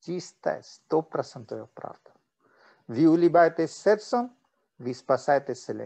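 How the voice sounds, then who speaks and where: A man's fairly high voice with a dark, mellow tone, lively intonation and a moderate pace. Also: quiet background. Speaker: meditation teacher. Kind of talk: guided meditation. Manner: switches between English and Russian. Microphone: video call.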